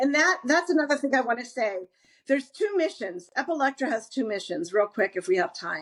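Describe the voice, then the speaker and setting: Very wide pitch swings at a fairly quick pace. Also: woman, high pitch for a woman. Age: 60s. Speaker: graphic novel creator, former public relations professional. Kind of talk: interview. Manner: halting.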